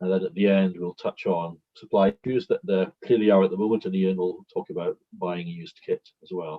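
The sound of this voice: Low-pitched and fairly quick, a man speaks with fairly even intonation.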